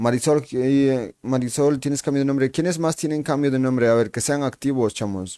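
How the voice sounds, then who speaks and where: The recording is very clean, with a silent background. A man speaks with a dark, mellow tone, ordinary pitch variation and hardly any pauses. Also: medium pitch for a man, moderate pace. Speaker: gaming livestreamer. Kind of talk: live gameplay stream chat. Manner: animated.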